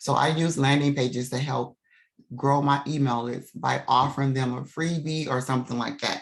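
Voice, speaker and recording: A woman with vocal fry, a very deep, low pitch, fairly even intonation, and a fairly slow pace. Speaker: business coach. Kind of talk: tutorial. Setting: video call.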